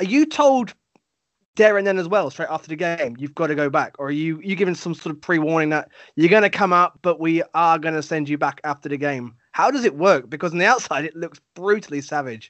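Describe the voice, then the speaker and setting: This man's pitch is high and moves in an ordinary way. He talks at a fairly quick pace. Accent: English. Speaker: sports podcast host. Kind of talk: casual interview chat.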